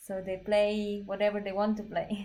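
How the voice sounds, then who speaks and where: A woman with a Slovak accent, medium pitch, and a fairly slow pace. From Slovakia. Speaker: belly dance teacher and performer. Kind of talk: casual chat during a livestreamed dance class. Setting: livestream.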